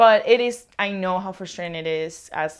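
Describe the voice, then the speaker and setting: A woman with a Spanish accent speaks at a medium pitch with lively intonation. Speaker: knitting vlogger. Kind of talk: casual vlog monologue.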